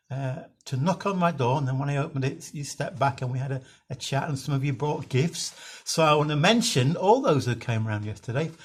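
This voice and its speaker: On a very clean recording with a silent background, a man with a British accent and a fairly high, somewhat breathy voice talks at a fairly quick pace with ordinary pitch variation. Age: 60s. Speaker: minister. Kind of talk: devotional talk. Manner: halting.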